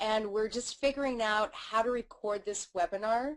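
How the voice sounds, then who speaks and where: A woman with an American accent speaks at a moderate pace and medium pitch, with ordinary pitch variation. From United States. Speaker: webinar host. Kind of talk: live webinar chat. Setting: live webinar on camera. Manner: animated.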